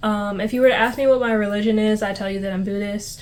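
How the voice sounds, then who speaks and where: The speech comes very fast in a flat monotone, with audible room echo. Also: woman. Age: 20s. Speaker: vlogger. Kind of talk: casual chat. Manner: casual, filler-heavy.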